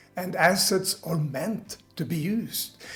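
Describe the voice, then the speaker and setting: A man talks at a high pitch while music plays in the background. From Sweden. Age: 70s. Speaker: retiree, online business coach. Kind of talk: motivational talk to camera.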